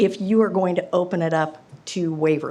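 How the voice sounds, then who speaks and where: In a room with audible echo, a woman with an American accent speaks at a fairly slow pace. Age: 70s. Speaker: resident speaking at public hearing. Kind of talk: public comment. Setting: council meeting at podium.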